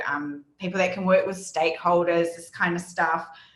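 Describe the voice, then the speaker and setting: A woman with a New Zealand accent, in audible room echo. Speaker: data analytics team lead and conference speaker. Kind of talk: conference presentation. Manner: hesitant, many fillers.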